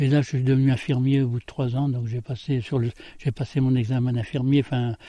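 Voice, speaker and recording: A man with a medium pitch and a dark, mellow, somewhat breathy tone speaks at a moderate pace with fairly even intonation in a dry, close recording with no echo. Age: 70s. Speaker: former farmhand and voluntary simplicity author. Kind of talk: interview. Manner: halting.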